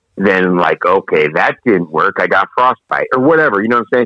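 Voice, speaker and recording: At a moderate pace, a man speaks with lively intonation and a bright, sharp tone, his loudness very even and the sound dry and close with no echo. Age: 50s. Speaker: podcast co-host, bodybuilder. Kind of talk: casual chat.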